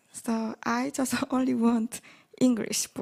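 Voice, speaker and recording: A woman talks at a high pitch with a North Korean accent. The sound is dry and close, with no echo. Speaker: refugee author. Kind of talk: audience Q&A at online conference. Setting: live-streamed online conference. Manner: halting, simple English.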